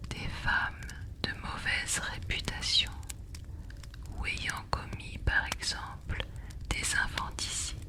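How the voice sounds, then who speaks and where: A whisper at a very slow pace, broken by long, frequent pauses, over noticeable background noise. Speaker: ASMR creator. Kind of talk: whispered storytelling. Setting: by the fireside. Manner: whispering.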